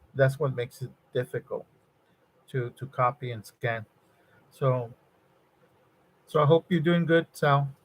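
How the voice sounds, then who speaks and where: A man's fairly high, somewhat breathy voice with fairly even intonation, at a fairly slow pace, with long, frequent pauses, big swings in loudness, and a dry, close sound with no echo. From Mexico, Nuevo Laredo (border region). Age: 60s. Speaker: electronics design engineer and livestreamer. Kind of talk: casual live-stream chat with viewers. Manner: halting, many fillers and repetitions.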